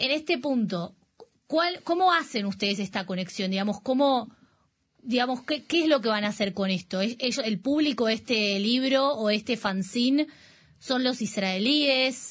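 A woman with an ordinary speaking voice talks at a fairly slow pace, her fairly high pitch carried by lively intonation over a quiet background. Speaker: radio host. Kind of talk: interview. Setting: studio.

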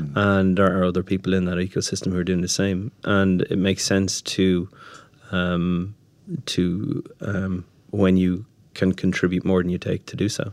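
Very deep and low in pitch, a man with an Irish accent speaks at a moderate pace in a monotone, flat intonation on a very clean recording with a silent background. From Ireland. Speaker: startup founder. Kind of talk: interview. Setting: studio. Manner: hesitant, many filler words.

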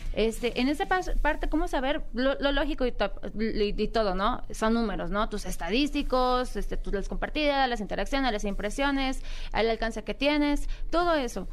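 In a Guadalajara accent, a woman speaks at a high pitch with lively intonation. Her pace is moderate, and room echo is audible. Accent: Guadalajara (tapatío). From Guadalajara, Mexico. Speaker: gamer and streamer, gaming organization founder. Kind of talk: radio interview.

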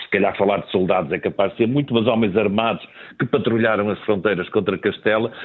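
A man talks very fast at a fairly low pitch. His intonation stays fairly even. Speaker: newspaper editor and commentator. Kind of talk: radio panel discussion.

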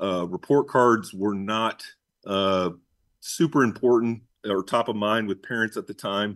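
This man has an American accent and a fairly low pitch, with ordinary pitch variation. He talks at a fairly slow pace against a quiet background. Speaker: business owner. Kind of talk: interview. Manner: halting, many fillers.

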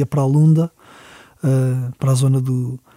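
A man speaks in a fairly high, somewhat breathy voice with a dark, mellow tone. His delivery is monotone and flat at a moderate pace, and the sound is dry and close with no echo. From Portugal, Lisbon. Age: 40s. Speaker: musician. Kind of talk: interview. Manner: halting.

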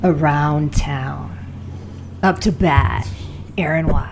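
A put-on character voice at a low-to-middle pitch moves at a very slow pace over clear background noise. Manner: announcing, sing-song call.

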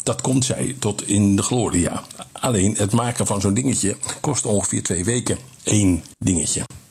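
Over noticeable background noise, a man talks at a fairly low pitch with very even loudness. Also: ordinary pitch variation, moderate pace. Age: 60s. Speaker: business coach. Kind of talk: interview.

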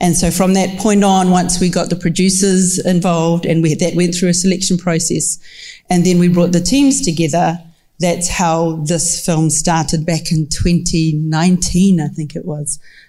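A fairly low-pitched, somewhat breathy woman's voice with a New Zealand accent, dark and mellow in tone, monotone and flat, at a moderate pace. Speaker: film commission executive, panel co-moderator. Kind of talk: panel discussion. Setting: stage with audience.

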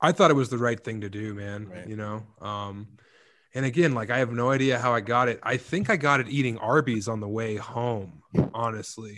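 A plain, everyday voice from a man with an American accent, medium in pitch with ordinary pitch variation and big swings in loudness, at a moderate pace in a very clean recording with a silent background. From Colorado, Eastern Plains. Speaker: comedian and author. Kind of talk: casual chat.

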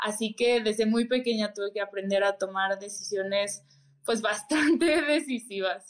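A woman's fairly slow speech with ordinary pitch variation. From Mexico City. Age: 20s. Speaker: parkour athlete and stunt double. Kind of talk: interview.

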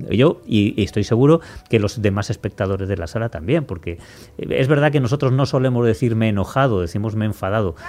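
A man at a medium pitch with lively intonation and a very fast pace, against noticeable background noise. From Spain. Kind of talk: casual chat.

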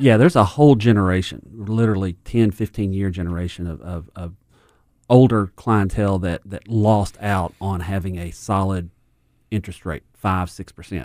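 A man talks in a normal speaking voice, fairly low in pitch with ordinary pitch variation. The pace is moderate, and the sound is dry and close with no echo. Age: 50s. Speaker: financial advisor. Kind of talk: casual chat. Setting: studio.

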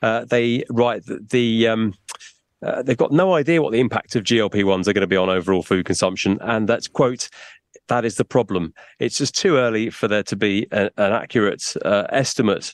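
In an unremarkable speaking voice, the speaker moves at a fairly quick pace with ordinary pitch variation, the sound dry and close with no echo against a quiet background. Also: man, medium pitch for a man. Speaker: business news reporter. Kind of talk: business news report.

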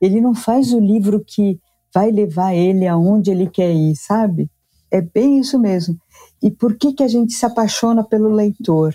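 Somewhat breathy, a woman speaks at a fairly slow pace and medium pitch with ordinary pitch variation. Her loudness is very even, and the sound is dry and close with no echo. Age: 60s. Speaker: publishing executive. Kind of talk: casual interview. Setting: video call.

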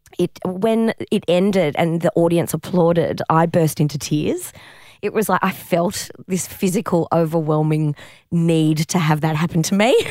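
With an Australian accent, a woman with a fairly low pitch and a dark, mellow tone speaks at a moderate pace, her intonation fairly even and her loudness very even. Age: 40s. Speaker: comedian and improviser. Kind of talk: casual interview chat.

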